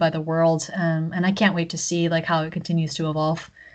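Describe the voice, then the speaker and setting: A fairly low-pitched woman's voice at a moderate pace, with an American accent. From Texas (Houston). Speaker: copywriter and indie game developer. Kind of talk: casual interview. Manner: frequent loud laughter.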